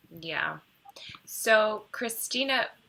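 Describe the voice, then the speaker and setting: The speaker is a woman. Her pitch is medium. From California. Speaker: talk show co-host. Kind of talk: casual chat.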